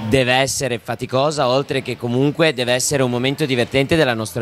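Music sounds behind the speech. The speaker is a man. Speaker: dance instructor guest. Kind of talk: interview answer. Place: office. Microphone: handheld.

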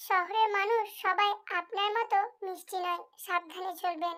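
Putting on a character voice, a woman speaks at an extremely high pitch with monotone, flat intonation and a moderate pace. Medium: read story. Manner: calm, soft, reassuring.

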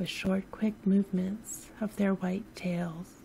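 A soft-spoken woman whispers at a very slow pace. Her voice is somewhat breathy. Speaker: sleep story narrator. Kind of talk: sleep story narration. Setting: home recording, no music. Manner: soft-spoken, whispery.

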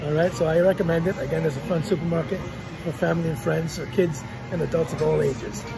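A man rattles off words at a very fast pace while clear music plays in the background. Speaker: vlogger shopper. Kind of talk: casual vlog chat. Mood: upbeat, recommending. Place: shop. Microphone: phone near.

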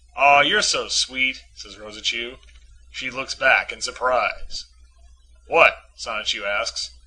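The delivery is dramatic in tone, at a fairly slow pace. Noticeable background noise can be heard. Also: man. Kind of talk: literary audiobook reading of comic strips. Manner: shifts into mock-dramatic character voices for dialogue.

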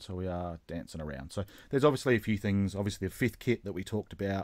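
Against a quiet background, a man with an Australian accent speaks with lively intonation. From South Australia. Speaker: YouTube channel host, model railroader. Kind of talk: interview. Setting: online call. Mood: casual, friendly. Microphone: video call.

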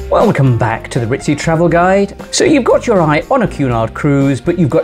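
A man talks at a moderate pace. Clear music plays behind him. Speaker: travel vlogger. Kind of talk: travel guide presentation. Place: home room. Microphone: lapel.

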